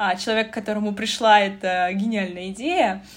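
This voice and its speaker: A woman talks in a somewhat breathy voice. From Russia, North Caucasus region. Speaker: podcast host. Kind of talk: interview. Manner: animated.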